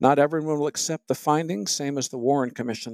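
Fairly high-pitched male voice with an American accent and ordinary pitch variation, dry and close with no echo, on a very clean recording with a silent background. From Michigan, US. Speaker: magazine editor and music critic. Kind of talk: casual conversational interview. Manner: wry, humorous, self-deprecating.

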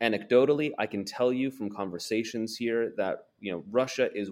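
Speaking at a moderate pace with a West Coast accent, a man keeps a medium pitch and ordinary pitch variation. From Portland, Oregon, US. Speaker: foreign correspondent and author. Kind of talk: interview.

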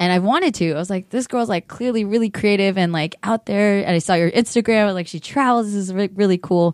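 A woman talks at a very fast pace with hardly any pauses. Her pitch is medium, with ordinary pitch variation. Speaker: podcast host. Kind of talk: casual chat. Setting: studio. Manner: loud; animated.

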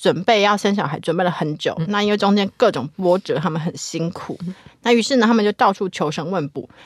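In a very clean recording with a silent background, a woman with a medium pitch speaks in an animated tone at a fairly quick pace. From Taiwan, Hakka family. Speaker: guest co-host and university lecturer. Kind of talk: casual chat. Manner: animated, frequent laughter.

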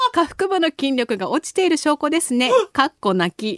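Her pace is moderate. This woman's intonation is lively. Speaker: radio host. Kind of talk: casual chat. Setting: studio. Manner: laughs often.

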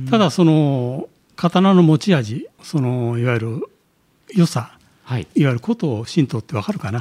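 Dry and close with no echo, the dark, mellow, somewhat breathy voice moves at a fairly slow pace with very wide pitch swings. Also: man, fairly high pitch for a man. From Japan, Nagano. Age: 60s. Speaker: swordsmith. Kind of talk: interview. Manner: hesitant, many fillers.

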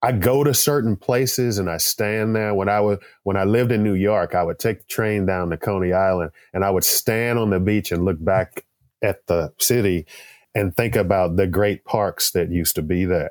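Recorded very cleanly with a dry, close sound, no echo and a silent background, a man with an unremarkable speaking voice and an American accent talks at a moderate pace, fairly low in pitch, with ordinary pitch variation and very even loudness. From Texas. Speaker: artist and poster illustrator. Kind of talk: interview.

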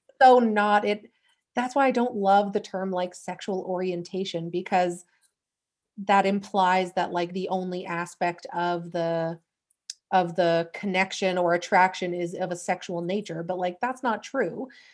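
In a Canadian accent, a woman with an unremarkable speaking voice talks at a fairly slow pace and medium pitch with fairly even intonation. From Western Canada. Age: 30s. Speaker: podcaster. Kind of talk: casual chat.

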